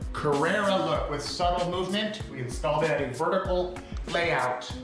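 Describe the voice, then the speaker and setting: Clear music plays in the background as a man speaks at a high pitch and a moderate pace, with audible room echo. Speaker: tile contractor. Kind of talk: tutorial walkthrough. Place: bathroom. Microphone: phone near.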